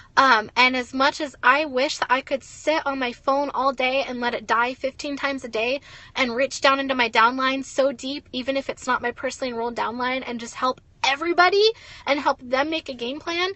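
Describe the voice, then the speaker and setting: Speaking at a fairly quick pace, a woman with a high pitch uses an animated tone and ordinary pitch variation. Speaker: network marketing leader. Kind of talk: motivational livestream talk. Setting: in a car, livestream. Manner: loud.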